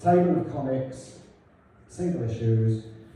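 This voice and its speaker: Over noticeable background noise and audible room echo, a man talks in a medium pitch. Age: 50s. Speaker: cartoonist. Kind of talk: illustrated talk. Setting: hall with audience. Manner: quiet; mumbling.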